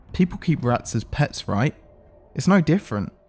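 With music in the background, a man speaks at a moderate pace in a dramatic tone with lively intonation. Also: dry, close sound with no echo. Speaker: SCP narrator. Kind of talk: ghost story telling, eerie first-person narration of a tormented host; scripted narration with casual chat intro and outro. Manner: pleading, obsessively repetitive, dramatic; casual, chatty.

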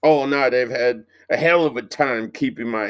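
Pitch shifts in an ordinary way as the text is read aloud in a natural voice.

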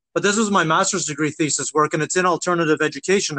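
In a dry, close recording with no echo, a man with a Maritime Canadian accent and a high pitch talks at a very fast pace. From Nova Scotia, Canada. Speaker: podcast host. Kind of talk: scripted intro and casual interview.

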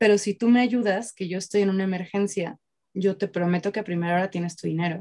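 A woman at medium pitch talks at a fairly quick pace in a normal speaking voice, the sound dry and close with no echo. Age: 20s. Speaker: tarot reader. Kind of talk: casual interview.

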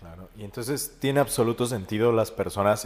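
A man with a plain, everyday voice, ordinary pitch variation and a fairly quick pace. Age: 20s. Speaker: podcast host and psychologist. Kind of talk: casual interview chat.

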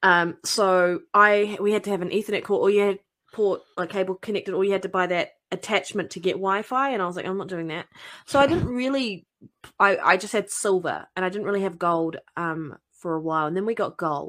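Mid-range female voice, the recording very clean and the background silent. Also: ordinary pitch variation, fairly quick pace. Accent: New Zealand. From New Zealand. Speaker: guest gamer. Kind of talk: casual chat.

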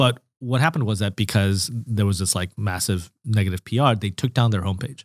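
Recorded very clean with a silent background, dry and close with no echo, a man speaks at a fairly quick pace in a fairly low voice with ordinary pitch variation and hardly any pauses. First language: not English. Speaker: startup founder. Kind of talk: interview. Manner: speaks in short sound bites.

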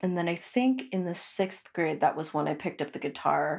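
A woman with an American accent talks at a moderate pace in a fairly low pitch. Her intonation is lively, with vocal fry throughout. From US Pacific Northwest, Filipino American family. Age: 20s. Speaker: musician and podcast co-host. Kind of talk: casual interview conversation.

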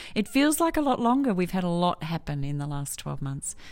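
A woman's fairly low voice in an Australian accent at a moderate pace, very cleanly recorded over a silent background. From Melbourne, Australia. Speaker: quality manager. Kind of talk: casual interview.

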